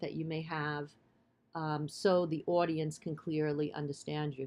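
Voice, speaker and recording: A woman with a Bronx accent speaks at a very deep, low pitch. Her intonation is flat and monotone. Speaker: college instructor. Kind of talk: lecture. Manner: hesitant, many fillers.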